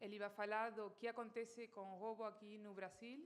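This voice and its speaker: A woman with a Spanish accent and noticeable background noise behind her. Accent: Spanish-accented Portuguese, non-native. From Argentina. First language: Spanish (speaking Portuguese). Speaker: company director and speaker. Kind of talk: conference talk. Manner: halting, many fillers.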